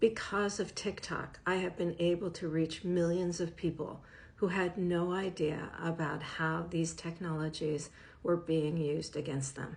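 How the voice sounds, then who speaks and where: Fairly slowly and with fairly even intonation, a woman talks in a normal speaking voice that sits fairly low in pitch. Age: 60s. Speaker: professor and media literacy educator. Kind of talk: direct-to-camera advocacy talk.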